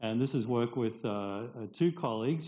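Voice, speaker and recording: A man's unremarkable speaking voice, medium in pitch, at a moderate pace. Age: 60s. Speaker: professor. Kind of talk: lecture.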